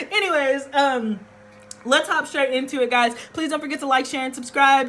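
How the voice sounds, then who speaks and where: A loud woman's voice, high in pitch, with ordinary pitch variation over noticeable background noise. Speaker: tarot reader. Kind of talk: tarot reading to camera. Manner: projecting, theatrical.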